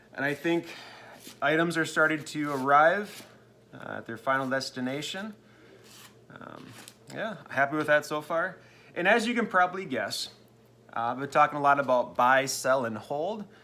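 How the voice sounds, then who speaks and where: A man with a fairly high voice and a bright, sharp tone speaks at a moderate pace with lively intonation. His loudness swings widely, and he leaves long, frequent pauses. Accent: American. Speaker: sports card seller and video host. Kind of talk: casual vlog update.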